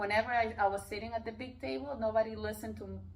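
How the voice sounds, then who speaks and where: This is a woman speaking. She has a Peruvian accent. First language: Spanish. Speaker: life coach and real estate investor. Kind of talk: interview conversation. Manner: loud; animated.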